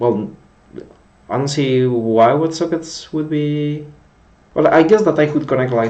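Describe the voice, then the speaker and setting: Male speaker with a Spanish accent and very wide pitch swings, in audible room echo. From Spain. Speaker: coding streamer. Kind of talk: live coding stream chat. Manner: halting, repetitive; slower in English than usual.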